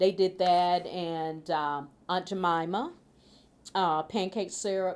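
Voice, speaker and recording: In a Mississippi accent, a woman speaks at a very slow pace with a fairly low pitch, on a very clean recording with a silent background. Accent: Southern US (Mississippi). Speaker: food policy council chair. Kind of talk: interview answer. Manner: casual, hesitant.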